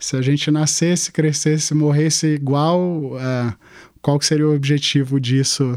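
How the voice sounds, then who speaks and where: At a fairly slow pace, a man with a fairly high pitch speaks with fairly even intonation and very even loudness. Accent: Carioca. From Manaus, Brazil. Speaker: entrepreneur, festival founder. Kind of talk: interview. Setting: studio.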